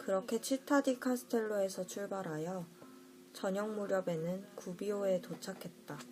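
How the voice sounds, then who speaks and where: Music plays in the background as a woman talks fairly slowly. Her pitch is medium, with ordinary variation. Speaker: audiobook reader. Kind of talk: audiobook essay reading, ASMR-style bedtime narration.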